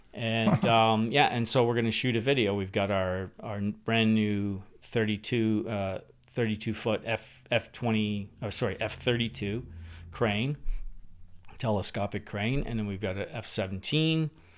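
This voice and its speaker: At a fairly slow pace, a man with an ordinary speaking voice talks at a fairly low pitch with fairly even intonation. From New Brunswick, Canada (born in England, moved at six). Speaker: camera car driver and film equipment executive. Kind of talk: casual chat.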